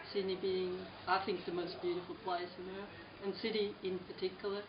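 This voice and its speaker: A woman's monotone, flat delivery amid audible room echo and noticeable background noise. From Switzerland. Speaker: artist. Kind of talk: interview. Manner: halting, many fillers.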